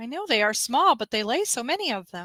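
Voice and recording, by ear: Putting on a whiny character voice, a woman speaks fairly quickly at a fairly high pitch.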